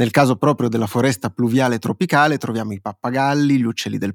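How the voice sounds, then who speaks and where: Recorded very cleanly against a silent background, the sound is dry and close with no echo as a man talks in an ordinary speaking voice at a medium pitch with fairly even intonation. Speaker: podcast co-host. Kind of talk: casual chat.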